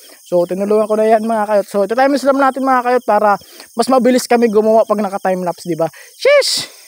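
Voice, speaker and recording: Over noticeable background noise, a man with a high pitch and ordinary pitch variation talks at a very fast pace in a dry, close sound with no echo. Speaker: vlogger. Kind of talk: casual vlog voice-over. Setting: outdoors, walking. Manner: halting.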